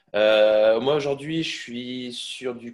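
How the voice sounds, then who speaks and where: Very slow speech from a man at medium pitch, its pitch varying in an ordinary way. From Brittany, Quimper. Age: 20s. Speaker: fitness coach. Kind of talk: testimony interview. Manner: halting, many fillers.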